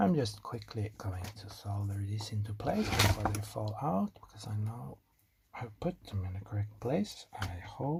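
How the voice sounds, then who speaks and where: The speaker has a non-native accent and talks at a fairly slow pace. Noticeable background noise is present. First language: not English. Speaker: electronics hobbyist YouTuber. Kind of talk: tutorial. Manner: casual, self-deprecating chatter with hesitations.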